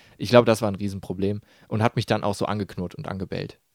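The sound is dry and close with no echo as a man with a fairly low pitch speaks very fast in fairly even intonation. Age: 20s. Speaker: podcast co-host. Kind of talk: casual chat. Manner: hesitant with many fillers.

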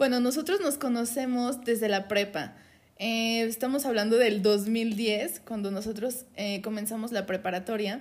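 A woman with a fairly high pitch and ordinary pitch variation has a normal speaking voice. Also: fairly slow pace. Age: 20s. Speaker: podcast co-host, HR worker. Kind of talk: casual chat.

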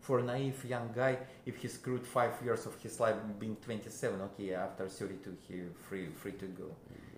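A man with a Russian accent speaks at a medium pitch and fairly quick pace in a somewhat breathy voice with ordinary pitch variation, and audible room echo surrounds him. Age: 50s. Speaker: musician. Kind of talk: interview. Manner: halting.

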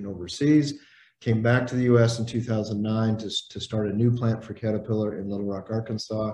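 A man's fairly low, monotone voice with flat intonation, at a fairly quick pace, with an American accent. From Indiana, US Midwest. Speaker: leadership trainer and executive coach. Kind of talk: interview.

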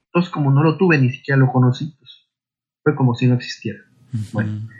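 Somewhat breathy and fairly quick, a man talks at a fairly high pitch with ordinary pitch variation. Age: 40s. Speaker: intended father in surrogacy. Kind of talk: interview testimony.

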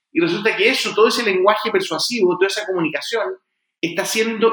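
A man speaks with a Chilean accent. His voice is raised and projected. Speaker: fintech founder and entrepreneur. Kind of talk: interview. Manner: halting with frequent repetitions.

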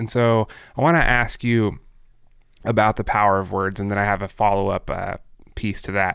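The recording is very clean, with a silent background. A man with an ordinary speaking voice talks at a fairly quick pace and a fairly low pitch. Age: 30s. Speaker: podcast host. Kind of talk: casual discussion.

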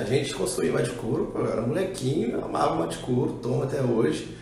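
Very fast and with hardly any pauses, a man speaks at a medium pitch and very even loudness. Noticeable background noise and audible room echo fill the recording. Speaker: clothing brand co-founder. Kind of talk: casual chat.

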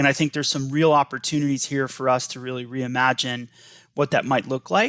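The speech comes at a fairly quick pace in a dry, close sound with no echo, on a very clean recording with a silent background. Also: man. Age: 50s. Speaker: former school superintendent. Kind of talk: interview.

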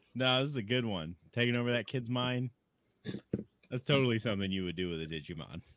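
Speaking very fast with lively intonation, a man with an American accent uses a medium pitch. His speech is broken by long, frequent pauses. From Chicago, US Midwest. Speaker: podcast host. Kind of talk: casual chat.

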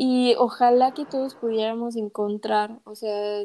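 Speaking fairly slowly, a woman with a Mexican accent has a fairly high yet dark, mellow voice and monotone, flat intonation. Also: very clean recording, silent background. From Mexico. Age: 20s. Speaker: podcast co-host, English teacher. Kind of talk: casual chat.

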